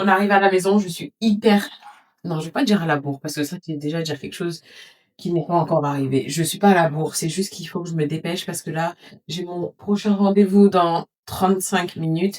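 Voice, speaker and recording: The woman talks at a fairly quick pace. Her pitch is fairly low, with ordinary variation. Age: 30s. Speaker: lifestyle vlogger. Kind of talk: casual vlog talk to camera. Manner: fast; hurried.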